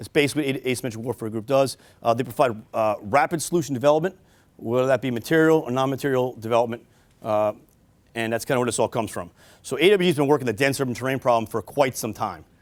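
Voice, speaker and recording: With a New York accent, a man of medium pitch speaks very fast with ordinary pitch variation on a very clean recording with a silent background. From New York City. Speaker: army officer and police detective. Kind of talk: military briefing talk. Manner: halting, many fillers.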